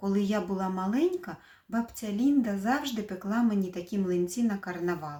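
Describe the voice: Ordinary pitch variation accompanies this plain reading aloud.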